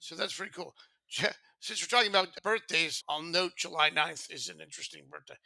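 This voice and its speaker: A man talks in a high pitch, his tone bright and sharp. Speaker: podcast co-host. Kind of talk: casual chat.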